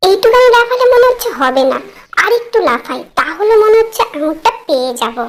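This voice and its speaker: A cartoonish character voice at an extremely high pitch speaks at a moderate pace. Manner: grumbling, expressive.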